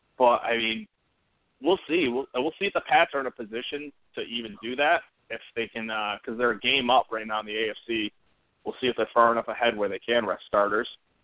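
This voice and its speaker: A man talks with an American accent at a fairly quick pace. His is an ordinary speaking voice. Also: medium pitch for a man, ordinary pitch variation. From Central New York. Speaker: sports podcast co-host. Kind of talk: casual chat.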